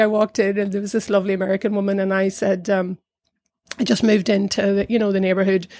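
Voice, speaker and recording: A woman with a South Down accent talks very fast at a medium pitch. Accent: Northern Irish, South Down. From Northern Ireland, County Down. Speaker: arts centre director. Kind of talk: casual interview chat.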